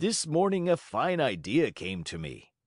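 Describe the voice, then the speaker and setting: Against a quiet background, a man puts on a raspy character voice, pitched fairly high and delivered at a fairly slow pace. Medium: read story.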